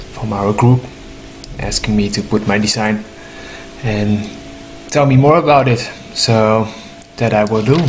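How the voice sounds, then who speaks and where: A man's fairly low voice, fairly slow, with long, frequent pauses, ordinary pitch variation, and noticeable background noise. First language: not English. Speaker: human design teacher. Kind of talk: informal explanatory talk. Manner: halting, with fillers.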